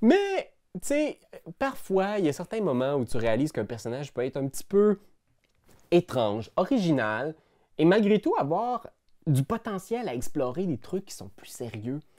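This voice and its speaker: A man with a Quebec accent and a high pitch for a man speaks at a fairly slow pace in a dark, mellow tone, his pitch swinging very widely and his loudness in big swings, with long, frequent pauses over a quiet background. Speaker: YouTuber and game master; YouTuber. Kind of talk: casual vlog monologue. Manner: animated. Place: home room.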